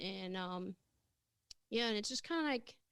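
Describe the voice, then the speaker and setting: A German accent at a moderate pace. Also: woman. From Germany. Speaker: comedian. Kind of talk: casual interview chat.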